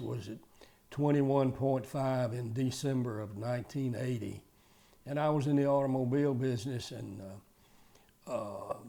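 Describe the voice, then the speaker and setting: In a Southern US accent, a man speaks at a medium pitch with a dark, mellow tone and ordinary pitch variation. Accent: Southern US (Georgia). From Georgia, US South. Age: 80s+. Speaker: retired car dealer. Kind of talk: testimony. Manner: halting.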